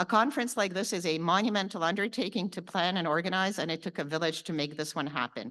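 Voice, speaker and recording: Against a quiet background, a woman with a bright, sharp tone and medium pitch talks at a very fast pace with hardly any pauses and ordinary pitch variation. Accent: Canadian. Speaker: lawyer and conference organizer. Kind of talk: conference opening address. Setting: conference hall with audience.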